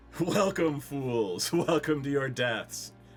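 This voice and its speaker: Over clear background noise, a man does a booming, put-on character voice, pitched fairly high, at a very slow pace. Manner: booming, villainous.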